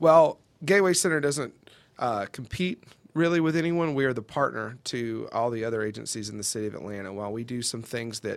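On a very clean recording with a silent background, a man uses an ordinary speaking voice at a medium pitch, with ordinary pitch variation and a fairly quick pace. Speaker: nonprofit public relations director. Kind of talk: radio interview. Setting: studio.

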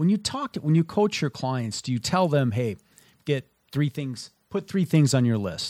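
A man with an American accent and an ordinary speaking voice, fairly high in pitch, with lively intonation at a fairly slow pace, in a very clean, dry, close recording with a silent background and no echo. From Minnesota. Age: 50s. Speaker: radio host. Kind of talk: radio interview. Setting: radio studio.

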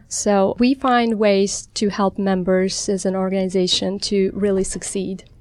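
In a very clean recording with a silent background, a plain, everyday voice with an American accent moves at a fairly slow pace with hardly any pauses, very even loudness and fairly even intonation. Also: woman, medium pitch for a woman. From outside the US. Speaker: general dentist. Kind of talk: radio interview. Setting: studio.

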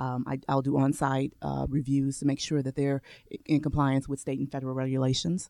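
In a dry, close sound with no echo on a very clean recording with a silent background, a woman talks with a dark, mellow tone, a very deep, low pitch and monotone, flat intonation. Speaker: lawyer. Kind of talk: radio interview. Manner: laughs often.

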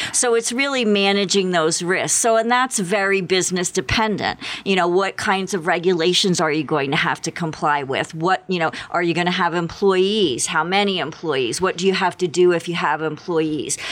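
A woman with an American accent speaks at a fairly low pitch, with ordinary pitch variation. She barely pauses, and there is noticeable background noise. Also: moderate pace, very even loudness. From Philadelphia area, US. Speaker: business and cybersecurity lawyer. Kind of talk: radio interview.

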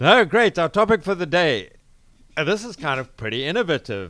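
A man in a South African accent speaks with very wide pitch swings. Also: very clean recording, silent background. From South Africa, Cape Town. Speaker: business radio host. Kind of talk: interview. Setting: studio.

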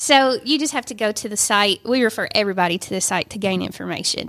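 Woman with a Georgia accent and medium pitch, on a very clean recording with a silent background. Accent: US Southern (Georgia). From Northwest Georgia, Dalton. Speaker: Red Cross chapter executive director. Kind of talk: casual chat.

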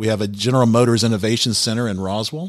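A man with an American accent and a plain, everyday voice, fairly low in pitch with ordinary pitch variation, at a fairly quick pace on a very clean recording with a silent background. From US South, Alpharetta, Georgia. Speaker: tech consultant and business owner. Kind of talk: radio interview. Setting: studio.

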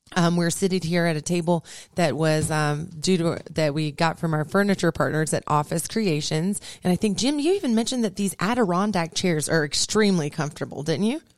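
A woman's plain, everyday voice at a fairly low pitch, with ordinary pitch variation and a fairly quick pace, on a very clean recording with a silent background. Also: very even loudness. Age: 30s. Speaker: business radio host. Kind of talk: casual interview; sponsor thanks and sign-off. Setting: radio studio.

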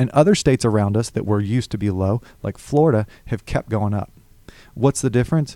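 A dark, mellow voice with a Southern US accent at a fairly quick pace, ordinary pitch variation, a dry, close sound with no echo, and a very clean recording over a silent background. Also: man, medium pitch for a man. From Alabama (Hoover, near Birmingham). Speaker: political candidate. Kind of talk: radio interview. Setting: studio.

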